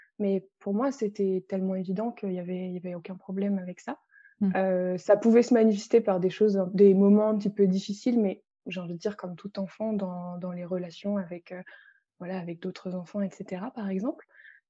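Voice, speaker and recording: A woman speaks at a moderate pace with fairly even intonation and a medium pitch. Her tone is dark and mellow, and her loudness swings widely. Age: 20s. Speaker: energy healer and author. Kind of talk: interview. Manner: halting.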